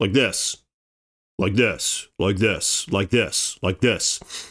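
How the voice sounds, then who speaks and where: A man puts on a character voice at a very slow pace, resonant and medium in pitch, with very even loudness. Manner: demonstrating a lower way of speaking.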